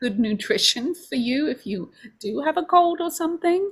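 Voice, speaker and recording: A woman speaks in a London accent with very wide pitch swings. The recording is very clean, with a silent background. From London, England. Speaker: homeopathy school director. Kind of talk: open house presentation.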